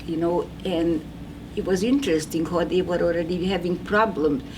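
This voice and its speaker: Amid noticeable background noise and audible room echo, a woman with a non-native accent speaks at a moderate pace and fairly low pitch with ordinary pitch variation. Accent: foreign. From Hungary. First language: Hungarian. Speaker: Holocaust survivor. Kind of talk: testimony. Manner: halting.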